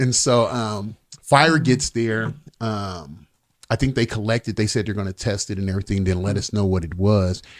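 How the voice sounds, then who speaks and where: The recording is very clean and the background silent. In it, a man talks with an American accent. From San Diego, California. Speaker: police officer. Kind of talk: casual chat. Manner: halting, many fillers.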